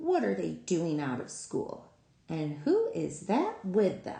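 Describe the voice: In a raspy put-on character voice, a woman talks at a fairly slow pace.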